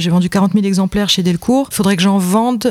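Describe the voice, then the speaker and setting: Recorded with a dry, close sound and no echo, the voice carries a slight Franche-Comté accent and fairly even intonation. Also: woman. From Franche-Comté, France. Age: 30s. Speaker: comic book author and illustrator. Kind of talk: casual chat.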